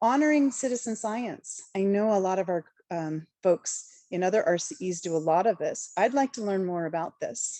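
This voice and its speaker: Against a quiet background, a woman with a dark, mellow tone speaks in a medium pitch with lively intonation and hardly any pauses. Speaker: sustainability educator presenting at conference. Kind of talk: online conference presentation. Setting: online meeting. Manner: fast.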